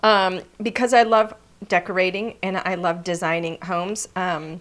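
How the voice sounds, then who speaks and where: Over a silent background in a very clean recording, a woman with a normal speaking voice talks at a moderate pace, her medium pitch and intonation fairly even. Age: 50s. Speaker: craft demonstrator. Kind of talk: live craft tutorial. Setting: live stream. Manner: casual, chatty.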